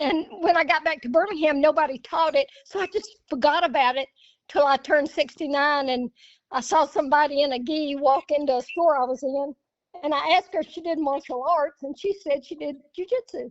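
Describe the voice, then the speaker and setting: With an Alabama accent, a woman is speaking. Her voice sits high in pitch. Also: ordinary pitch variation, fairly quick pace. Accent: Southern US, Alabama. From US South. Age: 70s. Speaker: jiu-jitsu practitioner. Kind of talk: casual chat.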